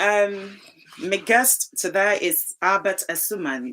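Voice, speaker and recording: A woman speaks with a Ghanaian accent. Her tone is bright and sharp. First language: Twi. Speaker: talk show host. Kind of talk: live talk show.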